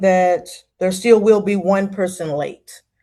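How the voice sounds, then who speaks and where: Speaking at a very slow pace in a Texas accent, a woman has a dark, mellow tone. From Texas, Dallas. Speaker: moderator. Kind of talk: virtual town hall moderation. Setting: video call.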